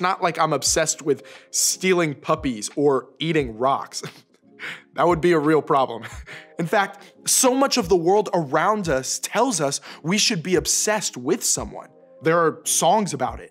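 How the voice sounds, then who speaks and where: A man at a fairly slow pace, faint music in the background. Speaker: youth program host. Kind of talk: scripted talk to camera for teens. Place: studio.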